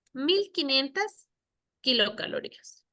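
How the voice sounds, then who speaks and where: The voice is raised and projected, with a bright, sharp tone. It moves at a very slow pace with very wide pitch swings. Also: woman. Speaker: nutritionist teaching a course. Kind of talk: lecture.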